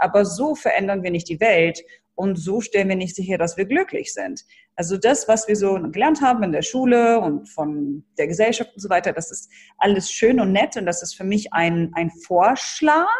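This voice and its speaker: Somewhat breathy, a woman speaks at a medium pitch and a moderate pace with lively intonation. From Germany, Hannover. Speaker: brand building coach. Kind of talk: interview.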